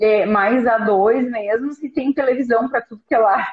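A woman speaks at a high pitch and a moderate pace. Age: 40s. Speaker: live stream co-host, mother. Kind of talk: casual chat. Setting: live stream.

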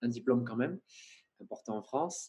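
The man's voice has a dark, mellow tone. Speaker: videographer. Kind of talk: interview. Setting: video call.

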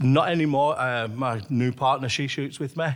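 A man with a Lancashire accent at medium pitch and moderate pace, with ordinary pitch variation, in a very clean recording with a silent background. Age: 50s. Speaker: archery shop owner and archer. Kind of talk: interview.

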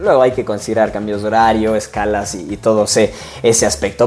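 Noticeable background noise behind a man's fairly quick delivery. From Ecuador, Cuenca. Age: 20s. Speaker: sports journalist. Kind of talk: solo podcast monologue. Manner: hesitant, many fillers.

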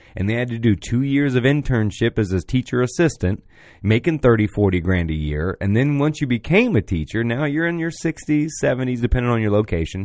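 In a very clean recording with a silent background, a man talks at a fairly quick pace with very wide pitch swings. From Florida, Orlando area. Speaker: podcast host. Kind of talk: casual chat. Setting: live-streamed studio podcast. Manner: fast.

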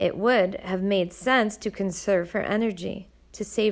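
Reading aloud in a natural manner

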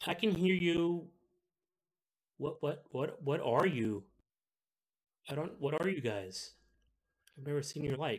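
A man puts on a squeaky character voice at a fairly high pitch, with lively intonation. He speaks at a very slow pace, leaving long, frequent pauses. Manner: pleasant.

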